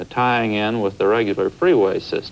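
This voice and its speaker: A man talks in an ordinary speaking voice. His pitch is fairly low, with ordinary pitch variation. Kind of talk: interview answer. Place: studio.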